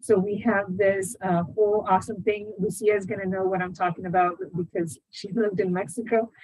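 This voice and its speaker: Her pitch sits at a medium level and her intonation stays fairly even. The woman sounds somewhat breathy and hardly pauses at all. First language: not English. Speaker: academic event moderator. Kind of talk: webinar moderation. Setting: video call projected to a room. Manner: halting, many fillers.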